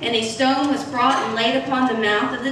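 A woman speaks at a moderate pace with ordinary pitch variation amid noticeable background noise and audible room echo. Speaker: church minister. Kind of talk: scripture reading in sermon. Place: church.

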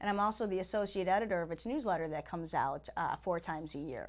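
A woman with an American accent talks at a fairly quick pace with ordinary pitch variation. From Chicago, US Midwest. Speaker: lawyer and judicial candidate; candidate. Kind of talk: interview. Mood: earnest, promotional. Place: studio.

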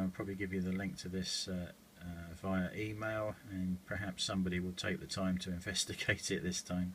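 Speaking very fast, a man uses a very deep, low pitch and monotone, flat intonation over light background noise. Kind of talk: casual complaint commentary. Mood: frustrated, wry laughter. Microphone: phone near.

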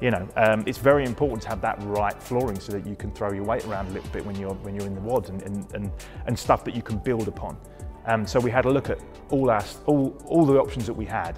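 A man with a fairly low pitch and ordinary pitch variation at a very fast pace, with clear music in the background. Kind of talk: interview answer. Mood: enthusiastic, positive. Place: gym. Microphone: lapel.

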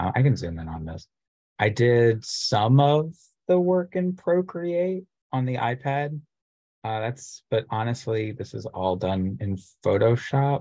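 The voice is somewhat breathy with a dark, mellow tone and very wide pitch swings. It moves at a fairly slow pace against a quiet background. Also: man, medium pitch for a man. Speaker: graduate student illustrator; presenter. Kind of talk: online presentation. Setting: video call. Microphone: video call.

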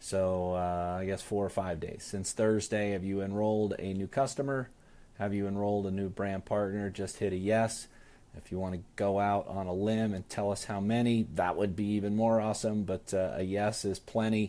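At a moderate pace, a man talks in a fairly low pitch with a dark, mellow tone and monotone, flat intonation. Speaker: sales team trainer. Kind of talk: live stream training talk. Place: office. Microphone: earbuds.

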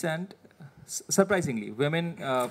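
A man's high-pitched voice with an Indian accent. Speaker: government administrator. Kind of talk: presentation. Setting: seminar with audience. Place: meeting room. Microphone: podium.

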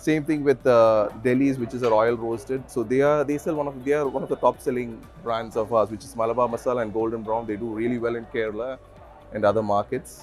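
A man at a very fast pace with fairly even intonation, faint music in the background. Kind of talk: interview answer. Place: hall.

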